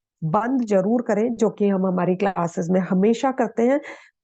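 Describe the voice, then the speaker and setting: Against a quiet background, a woman's fairly high voice has a dark, mellow tone and lively intonation. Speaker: yoga and meditation teacher. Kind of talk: lecture.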